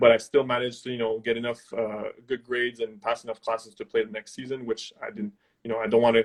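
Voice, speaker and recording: Very fast, monotone, flat delivery with hardly any pauses, in a slight French Canadian accent. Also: man. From Quebec. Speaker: former university football player. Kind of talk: interview. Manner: halting.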